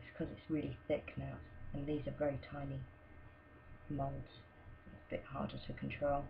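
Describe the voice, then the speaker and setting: Soft-spoken, a woman leaves long, frequent pauses. Audible room echo surrounds her voice. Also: moderate pace, big swings in loudness. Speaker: soap maker. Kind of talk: tutorial. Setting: at home. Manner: casual.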